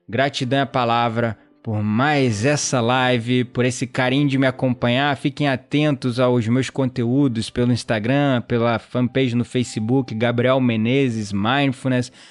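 Over music in the background, a man talks in a monotone, flat intonation at a very even loudness. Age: 30s. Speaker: podcast host, self-improvement coach. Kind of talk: live monologue. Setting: live stream.

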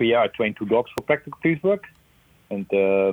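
A man with a Dutch accent talks at a medium pitch and a moderate pace, with ordinary pitch variation. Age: 60s. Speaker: police dog trainer. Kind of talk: interview. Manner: halting.

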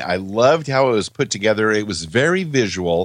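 An ordinary speaking voice moves at a moderate pace over a quiet background. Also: man. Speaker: podcast co-host. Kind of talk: casual podcast discussion.

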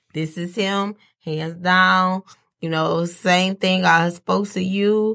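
Fairly slow in pace, a woman talks with a fairly low pitch. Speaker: host's wife. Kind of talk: casual chat. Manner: soft-spoken.

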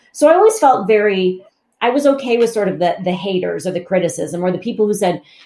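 Very fast, lively speech from a woman with an American accent, medium pitch and a dark, mellow tone. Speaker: communication coach and author. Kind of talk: interview, conversational podcast. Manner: fast talker.

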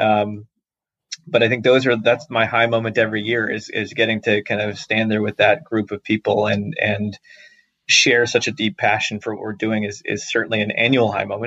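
A man with an American accent has an ordinary speaking voice, fairly low in pitch, and speaks at a moderate pace with fairly even intonation. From US South, suburbs of Atlanta, Georgia. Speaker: startup founder and CEO. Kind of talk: podcast interview. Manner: many filler words and repetitions.

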